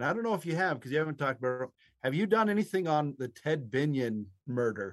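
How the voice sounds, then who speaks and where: A man with an American accent, fairly high in pitch, very wide pitch swings and a very fast pace. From Nevada, US. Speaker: podcast co-host. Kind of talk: casual chat.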